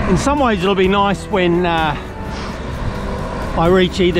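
Over music in the background, a man speaks with a dry sound that has no echo. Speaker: touring cyclist vlogger. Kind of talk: casual vlog chat. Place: bicycle. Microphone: phone near.

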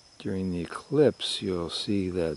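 In a dry recording with no echo, a man speaks at a very deep, low pitch. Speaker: publisher and editor. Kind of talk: ASMR nature commentary. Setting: outdoors. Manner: soft-spoken, slow. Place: open country.

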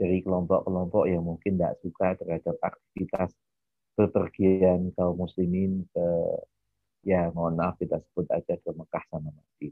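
In a very deep, low voice, a man speaks with monotone, flat intonation. The sound is dry with no echo against a quiet background. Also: moderate pace. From Indonesia, Bantul (Yogyakarta); Indonesia. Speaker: university lecturer. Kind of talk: lecture.

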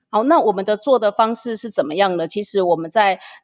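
Lively in intonation, a woman talks at a fairly quick pace with an ordinary speaking voice. The sound is dry and close, with no echo. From Taiwan. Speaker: interpreter and business group manager. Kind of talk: interview, interpreting.

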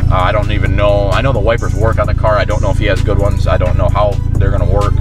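Against loud music in the background, a man speaks at a very fast pace in a dry sound with no echo. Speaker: car hobbyist vlogger. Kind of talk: casual vlog chat. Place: car. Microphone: phone near.

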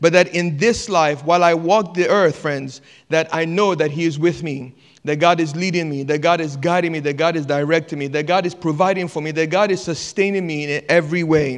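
There is a quiet background behind this man's high voice. His intonation is fairly even. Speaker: pastor. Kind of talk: sermon. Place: church. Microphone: handheld.

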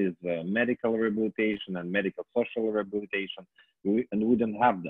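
A man with a fairly low pitch speaks at a very fast pace in a flat monotone. The sound is dry with no echo and the background is quiet. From Ukraine. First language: Ukrainian. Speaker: politician. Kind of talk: panel discussion. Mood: critical, earnest. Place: home room. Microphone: earbuds.

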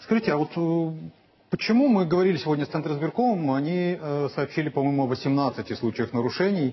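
A man with an ordinary speaking voice talks with lively intonation at a fairly high pitch. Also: fairly quick pace. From Odesa, Ukraine; Ukraine. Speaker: TV news anchor. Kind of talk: live election-night broadcast. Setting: TV studio. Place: studio.

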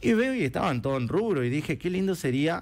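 A man speaks at a very fast pace. His pitch swings very widely. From Argentina, Chaco (Colorado area); Chaco, Argentina. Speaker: event organizer and entrepreneur; guest. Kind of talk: interview. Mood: warm, upbeat. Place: studio. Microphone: headset.

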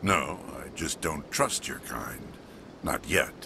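A man puts on a gruff character voice. Clear background noise runs underneath. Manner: gruff, distrustful of humans.

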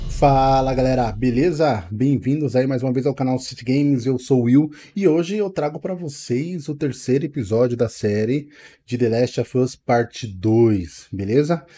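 At a fairly slow pace, a man speaks with a dark, mellow tone and ordinary pitch variation. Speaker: gaming channel host. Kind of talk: casual vlog chat. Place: home room. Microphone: headset.

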